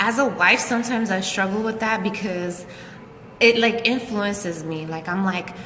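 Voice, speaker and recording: Over noticeable background noise and audible room echo, a woman with a medium-pitched voice speaks at a moderate pace with ordinary pitch variation. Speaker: married couple channel co-host. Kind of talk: casual chat. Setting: Facebook live video.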